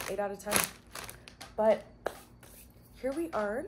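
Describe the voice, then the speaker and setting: Ordinary pitch variation marks the woman's speech, with light background noise present. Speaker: food reviewer. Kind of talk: casual vlog chat. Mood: relaxed, cheerful. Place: home room. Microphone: camera far.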